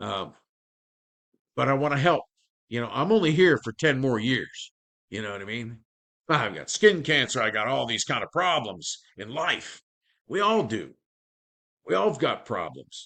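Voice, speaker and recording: A man's quiet-backdrop voice at medium pitch, bright and sharp in tone, with vocal fry, very wide pitch swings, big swings in loudness, and long, frequent pauses. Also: moderate pace. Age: 60s. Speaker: affiliate marketer, former carpenter. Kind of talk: sales pitch. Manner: casual, conversational.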